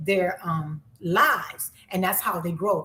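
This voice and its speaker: A woman speaks over noticeable background noise. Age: 50s. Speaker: YouTuber. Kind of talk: live stream chat. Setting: livestream.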